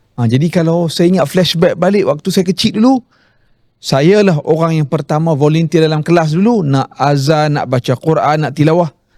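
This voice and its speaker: A man with a plain, everyday voice, fairly high in pitch, speaks at a moderate pace with ordinary pitch variation in a dry, close sound with no echo. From Malaysia, Kelantan roots, raised in Penang. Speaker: Islamic preacher and author. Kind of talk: interview. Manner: conversational, with fillers.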